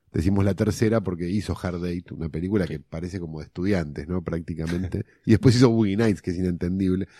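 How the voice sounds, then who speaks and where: On a very clean recording with a silent background, a man with a very deep, low pitch and a dark, mellow tone speaks at a very fast pace with hardly any pauses and ordinary pitch variation. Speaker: screenwriter podcast co-host. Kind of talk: casual film analysis chat.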